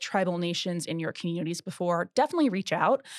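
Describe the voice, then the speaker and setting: On a very clean recording with a silent background and a dry, close sound with no echo, a woman with an unremarkable speaking voice talks at a fairly quick pace with lively intonation. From southeastern Oklahoma, Choctaw Nation. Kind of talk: interview. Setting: on location at a conference.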